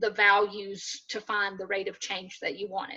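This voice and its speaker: Bright, sharp tone from a woman at a medium pitch. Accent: Southern US. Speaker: math instructor. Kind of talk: lecture. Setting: video call.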